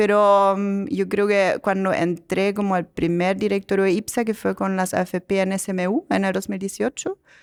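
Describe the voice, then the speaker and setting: A woman with a German accent speaks at a moderate pace with monotone, flat intonation. The recording is very clean, dry and close, with a silent background and no echo. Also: medium pitch for a woman. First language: German (speaking Spanish). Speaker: company director and angel investor. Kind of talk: podcast interview.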